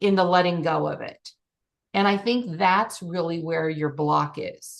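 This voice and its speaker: A woman with an ordinary speaking voice talks at a fairly slow pace and a fairly low pitch, with ordinary pitch variation. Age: 60s. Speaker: life and business coach. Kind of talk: group coaching session.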